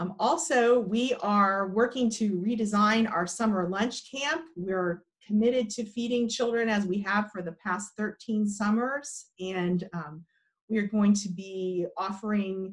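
A woman's somewhat breathy, fairly slow speech with ordinary pitch variation against a quiet background. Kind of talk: interview answer. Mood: warm, earnest. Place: home room. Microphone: video call.

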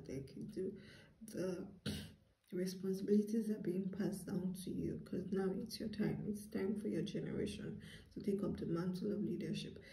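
A woman speaks at a moderate pace in a monotone, flat delivery, with audible room echo around her. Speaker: tarot reader. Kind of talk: tarot reading monologue to viewers. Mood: calm, earnest. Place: home room. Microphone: phone near.

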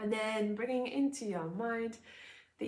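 A soft-spoken woman with a warm tone and a fairly high pitch. The background is quiet. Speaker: yoga teacher. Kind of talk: gentle guided loving-kindness meditation with breath cues. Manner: slow, soothing, soft cadence with pauses between phrases; warm, informal, slightly hesitant with filler sounds. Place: home room. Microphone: lapel.

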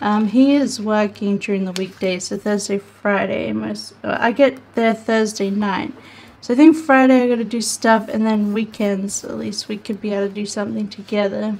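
This woman has an ordinary speaking voice, pitched in the medium range, and talks at a moderate pace with fairly even intonation and hardly any pauses. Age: 30s. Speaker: planner vlogger. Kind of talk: casual craft tutorial vlog. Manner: chatty, rambling with many fillers.

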